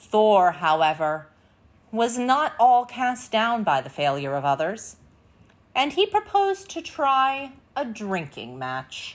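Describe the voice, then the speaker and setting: A woman's fairly high voice at a very slow pace, dramatic in tone, with very wide pitch swings. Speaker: storyteller and channel host. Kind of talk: fairy-tale narration, reading a Viking myth aloud. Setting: video channel, recorded read-aloud. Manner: storytelling tone, expressive, gently dramatic; measured, clear pacing. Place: home room.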